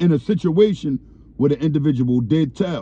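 A man speaks in a dark, mellow tone, and the sound is dry with no echo. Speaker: commentator. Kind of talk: commentary. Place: car. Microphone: phone near.

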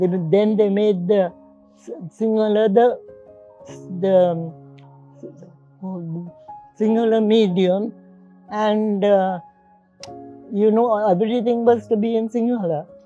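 Against faint music in the background, a woman speaks at a very slow pace with fairly even intonation and long, frequent pauses. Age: 80s+. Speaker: retired teacher. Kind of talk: interview answer. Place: garden. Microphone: lapel.

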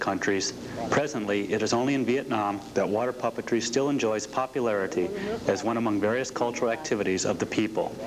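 Against noticeable background noise, a man talks very fast with very even loudness and ordinary pitch variation. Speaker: presenter. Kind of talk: documentary narration read from script. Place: studio. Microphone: studio mic.

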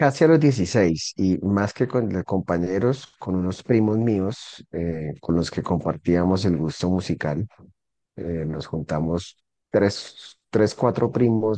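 A dark, mellow tone at a very slow pace, with ordinary pitch variation and a dry sound with no echo over a quiet background. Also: man. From Colombia, Santander (Bucaramanga), moved around; Santander, Colombia. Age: 40s. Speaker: rock musician and lawyer; lawyer. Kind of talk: interview. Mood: calm, relaxed. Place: home room. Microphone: video call.

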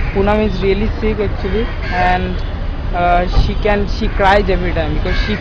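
A man's voice sounds dry with no echo, though loud background noise runs beneath it. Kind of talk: casual vlog chat. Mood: concerned, earnest. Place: street. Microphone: phone near.

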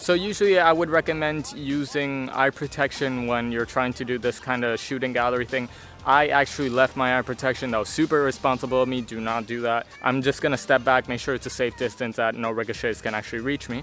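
A man talking at a very fast pace with ordinary pitch variation, dry sound with no echo, and faint music in the background. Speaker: toy blaster reviewer. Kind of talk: casual review vlog chat. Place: garden.

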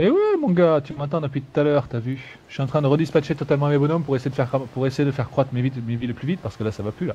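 A man with a fairly high pitch and a dark, mellow tone talks very fast, somewhat breathy, with hardly any pauses. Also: fairly even intonation. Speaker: gaming YouTuber. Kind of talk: casual let's play commentary. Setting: online voice chat. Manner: playful.

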